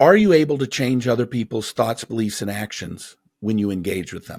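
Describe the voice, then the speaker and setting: Somewhat breathy, a man moves at a moderate pace through very wide pitch swings. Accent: American. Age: 50s. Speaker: motivational speaker and author. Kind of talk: interview conversation.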